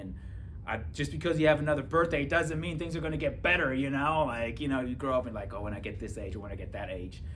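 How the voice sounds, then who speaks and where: A man talks at a fairly quick pace with very wide pitch swings, and the room echo is audible. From Germany. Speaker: police officer and author. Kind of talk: testimony. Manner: casual, filler-heavy.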